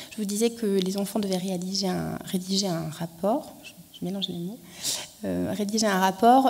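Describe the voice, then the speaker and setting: A woman's dark, mellow voice at medium pitch, fairly slow pace, with audible room echo. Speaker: archaeologist presenting an education project. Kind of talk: conference talk. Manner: hesitant, many fillers.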